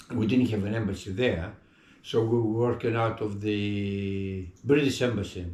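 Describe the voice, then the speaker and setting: At a moderate pace, a man with a Greek accent talks in a fairly low, somewhat breathy voice with fairly even intonation. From Greece. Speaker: retired public servant. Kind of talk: interview. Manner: halting.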